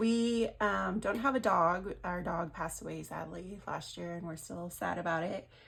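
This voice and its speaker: A woman speaks with a fairly low pitch. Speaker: budgeting content creator. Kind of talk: casual talk to camera.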